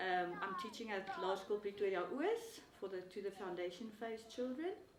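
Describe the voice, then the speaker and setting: Amid noticeable background noise, a woman with a South African accent talks at a moderate pace and medium pitch with ordinary pitch variation. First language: Afrikaans. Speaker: language teacher. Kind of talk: interview. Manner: halting.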